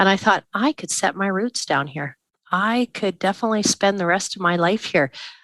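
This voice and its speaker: Recorded with a dry, close sound with no echo and a quiet background, a woman speaks with a Canadian prairie accent. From southern Saskatchewan, Canada. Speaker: grain farmer and speaker. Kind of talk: casual interview chat.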